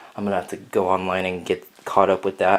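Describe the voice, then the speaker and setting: A man speaks over light background noise. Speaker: LEGO hobby vlogger. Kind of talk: casual vlog update. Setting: at home, echoey room. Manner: loud. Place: home room. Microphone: phone near.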